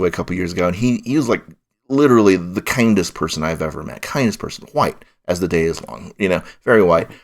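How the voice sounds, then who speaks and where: His voice is fairly low, and the man talks at a very fast pace. The recording is very clean, with a silent background. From Colorado, US. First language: Chinese. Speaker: film critic. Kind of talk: podcast discussion. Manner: halting, many repetitions.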